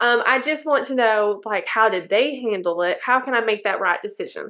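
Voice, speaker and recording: The woman has an unremarkable speaking voice, pitched fairly high. She goes at a moderate pace with ordinary pitch variation. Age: 30s. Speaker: financial advisor and podcast co-host. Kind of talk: casual chat.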